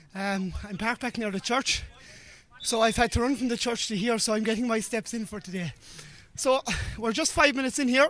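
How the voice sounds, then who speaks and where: A man talks at a fairly quick pace with an extremely high pitch. He leaves long, frequent pauses, and noticeable background noise can be heard. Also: ordinary pitch variation. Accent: Irish. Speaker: sports commentator. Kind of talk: live commentary.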